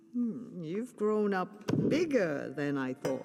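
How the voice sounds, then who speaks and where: In a cartoonish character voice, a female-sounding speaker at medium pitch goes at a fairly slow pace, with clear background noise behind her. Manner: calm, cryptic.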